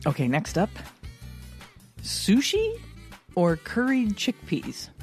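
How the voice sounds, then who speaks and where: A woman talks very slowly while music plays in the background. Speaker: podcast co-host. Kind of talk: casual podcast conversation.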